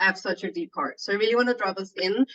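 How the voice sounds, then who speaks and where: Noticeable background noise surrounds a woman speaking with a Danish accent. Her pitch varies in an ordinary way. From Denmark. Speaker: yoga teacher and healer. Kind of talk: casual chat. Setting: video call.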